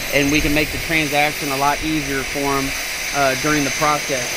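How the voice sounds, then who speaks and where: A man speaks with a dry sound and no echo. Noticeable noise runs in the background. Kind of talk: job site walkthrough. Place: garden.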